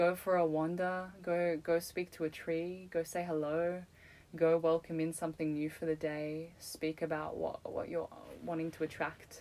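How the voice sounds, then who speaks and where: Her voice has a dark, mellow tone and a fairly low pitch for a woman. She keeps a moderate pace with fairly even intonation. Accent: Australian. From Australia, Melbourne. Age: 20s. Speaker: artist and yoga teacher. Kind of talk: casual chat.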